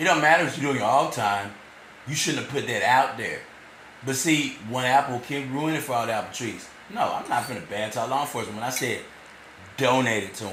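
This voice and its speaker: A medium-pitched man at a fairly quick pace, with audible room echo and noticeable background noise. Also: ordinary pitch variation. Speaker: vlogger. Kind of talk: rambling monologue. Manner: halting, repeats words.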